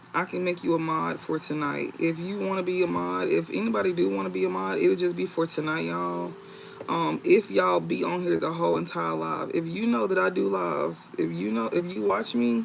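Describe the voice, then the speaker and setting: A man's medium-pitched voice with very wide pitch swings at a fairly quick pace, against noticeable background noise. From US South, Mississippi / New Orleans. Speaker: tarot reader, livestreamer. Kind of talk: livestream tarot reading. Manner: loud during readings.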